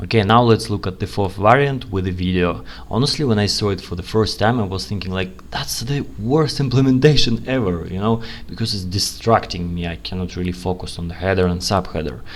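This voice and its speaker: With a non-native accent, the speaker goes at a fairly quick pace with hardly any pauses and lively intonation over noticeable background noise. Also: man, very deep, low pitch for a man. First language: not English. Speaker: UX analyst, channel host. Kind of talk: tutorial, screen-share commentary. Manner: casual, conversational.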